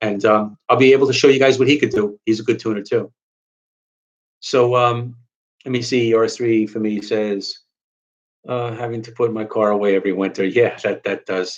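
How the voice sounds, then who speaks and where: Fairly quick, monotone, flat delivery from a man with a New York accent at a medium pitch. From New York, Long Island. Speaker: car enthusiast YouTuber. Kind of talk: live stream Q&A. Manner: halting, many fillers.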